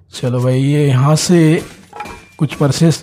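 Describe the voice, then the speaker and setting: Here a man is talking. His pitch is fairly high. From Odisha, India. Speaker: mobile game streamer. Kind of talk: live gameplay commentary.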